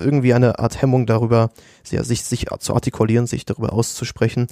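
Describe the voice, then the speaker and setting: A man speaks at a fairly quick pace and medium pitch, his intonation monotone and flat. The sound is dry and close, with no echo. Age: 20s. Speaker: university student. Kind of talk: casual academic discussion.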